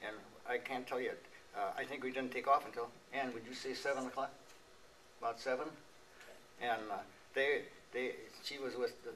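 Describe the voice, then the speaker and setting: In a Wisconsin accent, a man speaks at a moderate pace over noticeable background noise. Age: 80s+. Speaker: war veteran. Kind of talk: testimony. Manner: halting.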